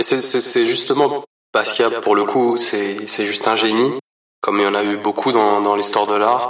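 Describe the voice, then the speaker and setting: Flat and monotone, a man speaks at medium pitch and a moderate pace with very even loudness. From France, Paris region. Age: 30s. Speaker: artist. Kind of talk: interview. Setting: art gallery. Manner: halting, repeats words.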